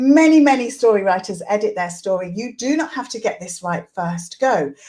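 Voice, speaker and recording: A woman speaks in a somewhat breathy, dark, mellow tone at a fairly high pitch, her pitch swinging very widely. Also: moderate pace, big swings in loudness. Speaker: literacy teacher and coach. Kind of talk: tutorial. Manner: animated.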